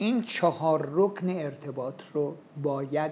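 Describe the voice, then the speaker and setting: The speaker is a man. His pitch is fairly high. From Iran, Yazd. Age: 70s. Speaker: marketing professor. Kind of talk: interview talk. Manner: measured, pausing.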